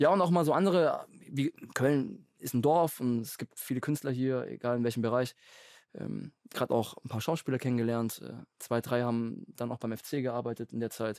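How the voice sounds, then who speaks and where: A plain, everyday voice talks at a moderate pace with ordinary pitch variation. The sound is dry with no echo over a quiet background. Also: man, medium pitch for a man. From Lake Constance area, southern Germany; southern Germany. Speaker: professional footballer; podcast guest. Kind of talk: casual chat. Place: studio. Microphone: studio mic.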